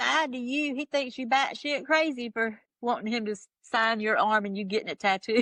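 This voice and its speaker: A high-pitched woman with a strong Southern US accent speaks at a moderate pace in a bright, sharp, animated tone, with ordinary pitch variation and big swings in loudness. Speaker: music fan telling her story. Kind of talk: casual chat. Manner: animated storytelling.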